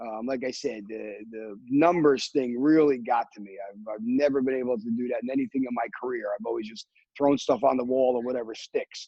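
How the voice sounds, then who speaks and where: Talking at a fairly quick pace with hardly any pauses, a man holds a medium pitch and fairly even intonation. His loudness swings widely. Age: 60s. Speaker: timeshare salesperson. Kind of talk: interview. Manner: halting, with many repetitions and fillers.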